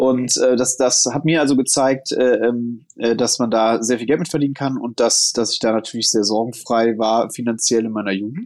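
A man with an unremarkable speaking voice talks at medium pitch and a moderate pace, his intonation fairly even. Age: 30s. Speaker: founder and investor. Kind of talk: casual interview.

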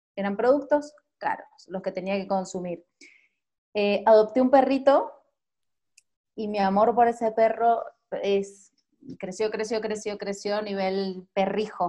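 With a dark, mellow tone and fairly high pitch, a woman talks at a fairly slow pace with ordinary pitch variation and long, frequent pauses. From Argentina, Mendoza. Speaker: journalist and marathon runner. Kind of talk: interview. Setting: video call.

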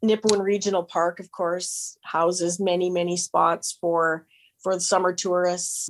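Here a woman with a Canadian accent talks in an ordinary speaking voice, medium in pitch, with fairly even intonation. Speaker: radio station owner. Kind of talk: interview.

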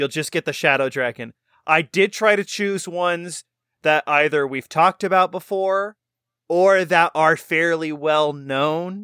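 The bright, sharp voice moves at a fairly slow pace with ordinary pitch variation, in a very clean recording with a silent background and a dry, close sound with no echo. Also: man, high pitch for a man. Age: adult. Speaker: podcast co-host. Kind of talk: casual chat.

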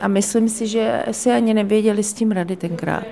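A woman's voice at a middle pitch comes through clear background noise. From Czechia, small town near Kolín. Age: 50s. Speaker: charity founder. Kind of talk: interview.

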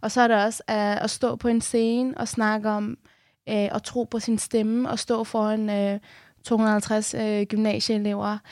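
The speech is very slow and monotone, with flat intonation. The sound is dry and close with no echo, and the recording is very clean, with a silent background. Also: woman, fairly high pitch for a woman. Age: 20s. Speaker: radio host. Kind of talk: interview. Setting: studio.

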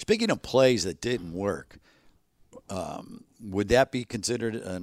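In a normal speaking voice, a man talks fairly slowly at a fairly low pitch with ordinary pitch variation. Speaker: podcast host, football commentator. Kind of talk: casual chat about football. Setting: studio, nearly empty building.

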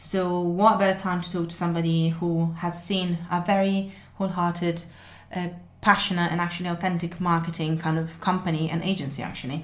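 A woman with a non-native accent and a fairly low pitch talks at a fairly quick pace, somewhat breathy and monotone, with flat intonation. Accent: noticeable non-native. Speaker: podcast host. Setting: podcast studio conversation. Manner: fast talker; naturally fast talker.

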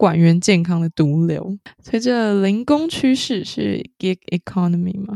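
In a southern Taiwanese accent, a woman speaks fairly slowly at medium pitch, her dark, mellow tone dry and close with no echo. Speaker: podcast co-host. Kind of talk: casual chat.

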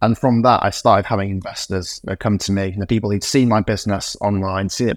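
A man at a fairly low pitch with a Yorkshire accent, at a very fast pace, on a very clean recording with a silent background. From West Yorkshire, England (Morley, near Leeds). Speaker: startup founder and CEO. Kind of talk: interview conversation.

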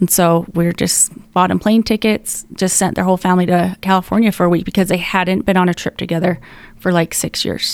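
Fairly quick, flat, monotone delivery from a woman with an American accent. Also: medium pitch for a woman. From Utah. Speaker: bereaved mother, foundation co-founder. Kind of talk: casual interview.

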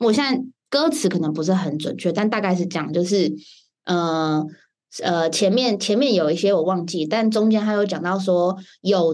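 This is an ordinary speaking voice with lively intonation. The background is quiet. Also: woman. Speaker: podcast host.

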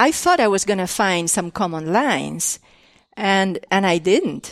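Against a quiet background, a woman with an Argentine accent speaks at a fairly slow pace. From Argentina. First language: Spanish. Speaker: artist and former educator. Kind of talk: casual interview conversation. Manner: halting, with many fillers and restarts.

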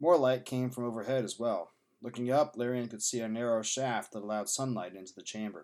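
Fairly even intonation in a natural reading voice

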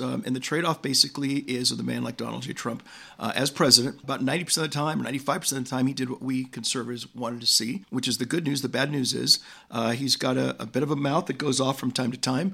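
In an American accent, a bright, sharp voice with vocal fry and ordinary pitch variation races along at a very fast pace over a very clean recording with a silent background. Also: man, medium pitch for a man. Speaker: political commentator. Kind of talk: debate. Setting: studio. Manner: animated.

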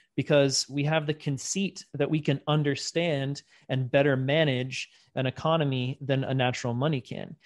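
Speaking at a moderate pace, a man with an ordinary speaking voice talks at a fairly high pitch with fairly even intonation, the sound dry and close with no echo and the background quiet. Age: 40s. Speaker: bitcoin educator and podcast host. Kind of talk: casual interview.

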